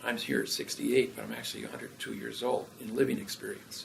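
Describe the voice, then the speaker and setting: Speaking at a fairly quick pace, a man is heard over noticeable background noise. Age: 60s. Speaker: former landlord and businessman. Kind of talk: casual interview chat.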